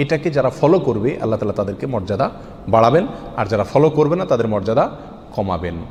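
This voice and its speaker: With noticeable background noise around him, a man talks as his pitch rises and falls very widely. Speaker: Islamic preacher. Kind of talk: Islamic sermon (waz).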